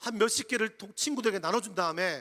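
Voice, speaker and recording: A man with a Jeju accent talks in a raised, projected voice at a very fast pace, his tone bright and sharp and his pitch high. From Jeju Island, Korea. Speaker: pastor. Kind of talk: sermon. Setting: church retreat with audience.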